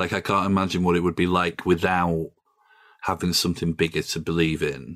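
With a South Yorkshire accent, a man speaks fairly quickly in a very deep, low pitch and a monotone, flat intonation. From northern England, Doncaster. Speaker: journalist and podcaster. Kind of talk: casual chat. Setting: video call.

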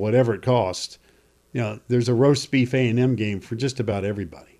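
A man's normal speaking voice, medium in pitch and fairly even in intonation, at a moderate pace on a very clean recording with a silent background. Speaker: sports radio host. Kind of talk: casual sports talk show banter. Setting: studio, streamed show.

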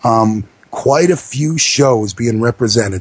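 A man with an American accent and a medium pitch talks at a very slow pace, his voice somewhat breathy. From New York, the Bronx. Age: 30s. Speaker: wrestling radio host. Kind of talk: casual talk radio.

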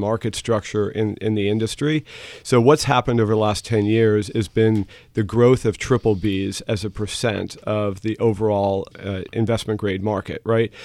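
The delivery comes at a moderate pace in a very clean recording with a silent background and a dry, close sound with no echo. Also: man. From New York City area. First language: German. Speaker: investment firm CEO. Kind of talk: interview. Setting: studio.

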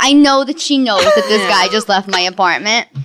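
In a Bronx accent, a woman speaks at a moderate pace in a raised, projected voice with very wide pitch swings. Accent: Bronx New York, noticeable. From the Bronx, New York. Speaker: stand-up comedian. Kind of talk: casual comedic interview.

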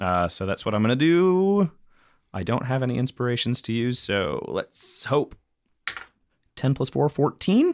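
Recorded very cleanly against a silent background, a man speaks at a fairly slow pace and a medium pitch with very wide pitch swings and long, frequent pauses. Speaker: tabletop RPG player and podcast co-host. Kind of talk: in-character tabletop RPG dialogue mixed with casual banter and outro. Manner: wry, jokey, laughs often.

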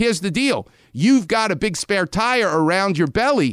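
In a very clean recording with a silent background and a dry, close sound with no echo, a man with a New York accent speaks at a moderate pace with very wide pitch swings. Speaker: orthopedic surgeon. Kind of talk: medical advice in radio interview.

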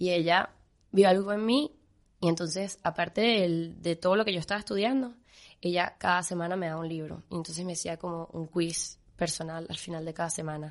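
A woman speaks in an ordinary speaking voice, fairly low in pitch with ordinary pitch variation. The background is quiet. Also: fairly quick pace. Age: 20s. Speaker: pastry chef. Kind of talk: interview.

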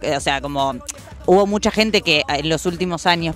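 Someone with a Rioplatense accent talks at a fairly quick pace amid noticeable background noise. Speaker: radio co-host. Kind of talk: casual interview. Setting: radio studio.

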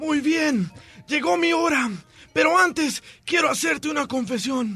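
In a put-on character voice, a man sounds hoarse and pitches extremely high, moving at a moderate pace. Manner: weak.

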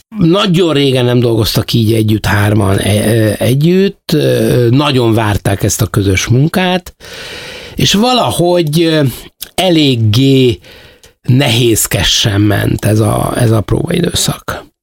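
A man's medium-pitched voice with lively intonation, a very slow pace and very even loudness. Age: old. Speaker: theatre producer. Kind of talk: interview. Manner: halting.

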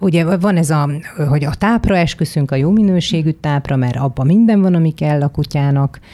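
Her tone dark and mellow, a woman speaks at a very deep, low pitch. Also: ordinary pitch variation, moderate pace, very even loudness. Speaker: podcast host. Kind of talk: interview.

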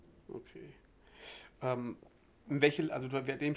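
A man's medium-pitched voice with vocal fry at a moderate pace. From West Germany. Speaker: podcast host. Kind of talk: interview.

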